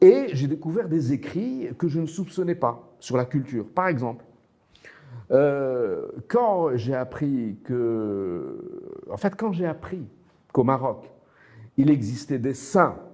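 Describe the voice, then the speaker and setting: Lively in intonation yet very slow with long, frequent pauses, a man speaks in a dark, mellow tone at a fairly high pitch. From Morocco, Casablanca. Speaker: author and teacher. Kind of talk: interview. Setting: studio. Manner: hesitant, repeats words.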